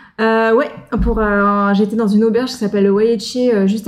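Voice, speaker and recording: A woman speaking at a fairly quick pace in a monotone, flat intonation amid noticeable background noise. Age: 30s. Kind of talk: casual chat.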